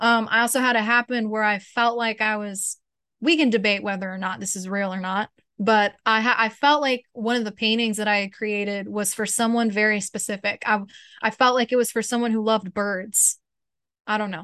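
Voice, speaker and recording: Against a quiet background, a woman talks fairly quickly in a bright, sharp tone at a fairly high pitch, her intonation fairly even. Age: 20s. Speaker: artist and small business owner. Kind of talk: casual interview.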